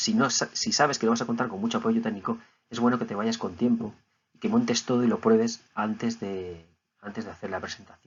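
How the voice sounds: A man talks at a fairly quick pace in a fairly low voice with a husky, rough edge. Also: fairly even intonation.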